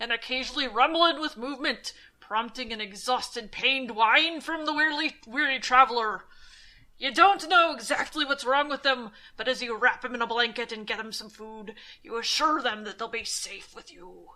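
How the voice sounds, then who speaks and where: A woman puts on a character voice, pitched high. She delivers it at a moderate pace. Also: very clean recording, silent background. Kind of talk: spooky campfire storytelling. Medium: read story. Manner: slow, ominous.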